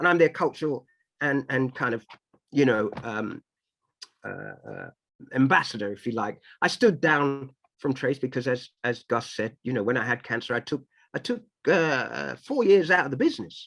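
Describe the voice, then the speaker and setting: With vocal fry, a man talks at medium pitch and a moderate pace, using ordinary pitch variation. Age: 50s. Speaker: music and TV producer. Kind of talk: interview conversation. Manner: animated.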